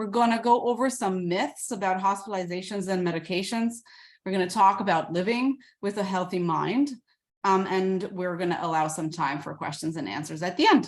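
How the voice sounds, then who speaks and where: In an ordinary speaking voice of medium pitch, a woman talks at a fairly quick pace with ordinary pitch variation on a very clean recording with a silent background. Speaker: psychiatrist. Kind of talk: lecture.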